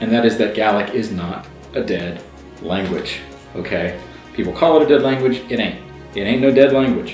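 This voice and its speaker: With music in the background, a man at a medium pitch talks at a moderate pace with lively intonation. He takes long, frequent pauses. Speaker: language learner, YouTuber. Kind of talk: casual talk to camera. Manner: enthusiastic, conversational.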